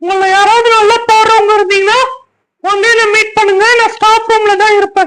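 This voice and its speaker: In a cartoonish character voice, a female-sounding speaker uses an extremely high pitch with monotone, flat intonation. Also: moderate pace. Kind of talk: children's puppet show dialogue.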